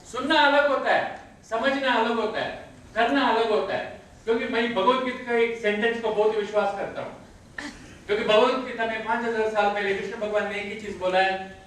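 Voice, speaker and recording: A man's extremely high voice at a moderate pace with fairly even intonation, noticeable background noise and audible room echo. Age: 60s. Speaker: network marketing leader. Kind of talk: motivational training talk.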